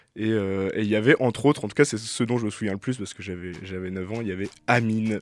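Very fast speech comes through on a very clean recording with a silent background. The loudness swings widely while the intonation stays fairly even. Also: man, fairly low pitch for a man. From Brittany, France. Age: 20s. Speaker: electronic music producer and DJ. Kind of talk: radio interview. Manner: halting.

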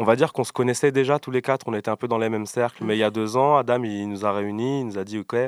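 A plain, everyday voice is heard in a dry, close sound with no echo on a very clean recording with a silent background. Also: man. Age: 20s. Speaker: rapper and beatboxer. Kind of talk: casual interview.

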